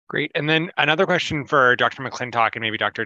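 A man's voice in a dry sound with no echo. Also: quiet background. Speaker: chief resident and moderator; moderator. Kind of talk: formal introduction. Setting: video call. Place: home room.

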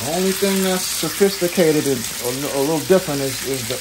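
At a moderate pace and with ordinary pitch variation, a man talks through noticeable background noise. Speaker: home cook host. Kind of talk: casual cooking tutorial. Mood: relaxed, playful. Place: kitchen.

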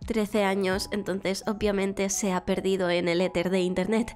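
A woman at a moderate pace with faint music in the background. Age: 20s. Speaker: streamer and voice acting student. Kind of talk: casual self-presentation to camera. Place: home room. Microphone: studio mic.

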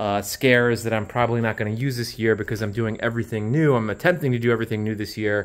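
A man talking at a very fast pace over a quiet background. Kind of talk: casual vlog walkthrough. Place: garage. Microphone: phone near.

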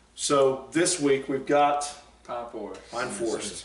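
A man speaks with audible room echo. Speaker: football coach host. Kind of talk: sports talk show discussion. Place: studio. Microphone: camera far.

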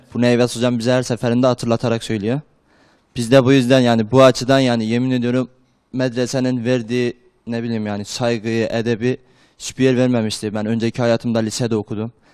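In a flat monotone, a man speaks at a medium pitch. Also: fairly quick pace, quiet background. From Turkey, Erzurum; Turkey. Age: 20s. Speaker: madrasa student; talk show guest. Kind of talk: TV interview. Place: studio. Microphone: handheld.

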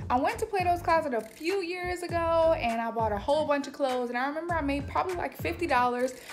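At a fairly quick pace, a woman talks while faint music sounds in the background. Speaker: lifestyle vlogger. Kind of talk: casual vlog chat. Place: home room. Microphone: phone near.

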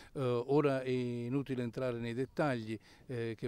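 Speaking at a fairly slow pace, a man uses a medium pitch and a dark, mellow tone in a flat monotone, with a dry sound and no echo. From Ischia, Italy; Italy. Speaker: charity volunteer; interviewee. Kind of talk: interview. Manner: hesitant, many fillers. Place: street. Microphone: handheld.

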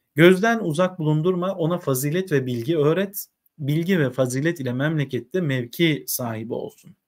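Against a quiet background, a somewhat breathy man speaks at a fairly slow pace with lively intonation. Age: 30s. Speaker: literature teacher; teacher reading. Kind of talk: reading aloud with commentary. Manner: hesitant, frequent filler sounds. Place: home room.

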